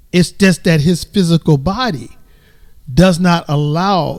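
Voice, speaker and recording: A man with a high voice for a man talks at a fairly slow pace, his pitch varying in an ordinary way. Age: 60s. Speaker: grandfather of guest family. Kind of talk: casual chat.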